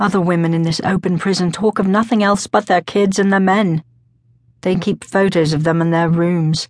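A woman with an ordinary speaking voice talks at a fairly low pitch and very even loudness. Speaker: audiobook narrator. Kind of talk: dramatic audiobook narration, first-person. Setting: studio. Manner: solemn, brooding; intense, slow, measured.

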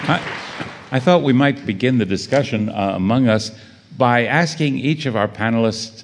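At a moderate pace, the words come in an ordinary speaking voice. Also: man. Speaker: panel moderator. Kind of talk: moderated literary panel discussion. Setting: stage with audience.

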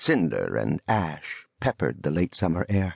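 Dramatic in tone, a man speaks at a fairly slow pace with a very deep, low pitch and vocal fry, the sound dry and close with no echo. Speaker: audiobook narrator. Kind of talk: literary audiobook narration of a history book, read aloud in a dramatic, vivid tone. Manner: formal, measured and solemn; dramatic, richly descriptive, evocative pacing.

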